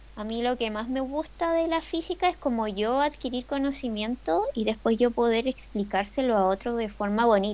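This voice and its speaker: A plain, everyday voice from a woman, fairly high in pitch, moderate in pace, with lively intonation and hardly any pauses. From Chile. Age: 20s. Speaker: illustrator and physics student. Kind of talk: casual chat.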